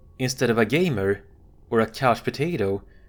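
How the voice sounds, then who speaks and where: At a moderate pace, a man speaks with a Swedish accent. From Sweden. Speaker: commentary video host. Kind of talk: monologue commentary. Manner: casual.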